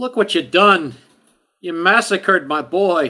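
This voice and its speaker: A put-on character voice rings out, raised and projected, in a very clean recording with a silent background. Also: man, high pitch for a man, fairly slow pace. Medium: actual play.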